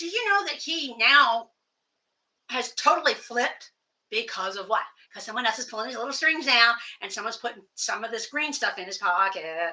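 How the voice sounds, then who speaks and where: An animated tone in an American accent, with very wide pitch swings and a fairly quick pace. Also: woman. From Pennsylvania, US. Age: 60s. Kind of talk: casual monologue rant.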